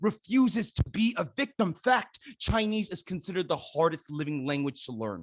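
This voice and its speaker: In a dry, close sound with no echo, a man with an American accent speaks at a high pitch and moderate pace with lively intonation. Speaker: spoken word poet and performer. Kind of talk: spoken word poetry performance.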